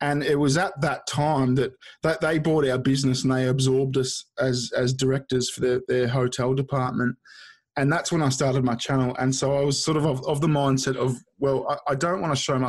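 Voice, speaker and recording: Over a quiet background, a man speaks at a fairly quick pace in a medium pitch with monotone, flat intonation. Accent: Australian. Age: 30s. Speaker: YouTuber. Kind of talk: casual chat. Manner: halting, many repeated words.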